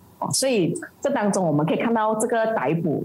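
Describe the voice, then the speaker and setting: A woman speaks at a fairly quick pace with lively intonation. There is noticeable background noise and audible room echo. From Malaysia. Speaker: political party committee member and activist. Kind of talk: interview. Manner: halting, many fillers.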